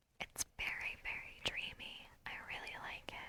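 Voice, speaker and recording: The speaker is a woman, and she whispers. Her delivery is fairly slow. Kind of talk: casual talk to camera while playing a game. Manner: soft, whispered.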